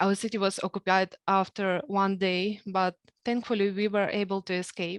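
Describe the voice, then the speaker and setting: Her voice, with a Ukrainian accent, sits at a medium pitch and moves at a moderate pace with monotone, flat intonation, in a dry, close sound with no echo. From Ukraine. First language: Ukrainian or Russian. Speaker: program graduate. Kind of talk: speech.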